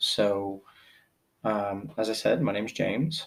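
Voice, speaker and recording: With a Pennsylvania accent, a man speaks at a very slow pace and a fairly low pitch. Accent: Pennsylvania American. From US, central Pennsylvania. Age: 40s. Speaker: podcast host. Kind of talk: personal monologue. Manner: halting, many fillers.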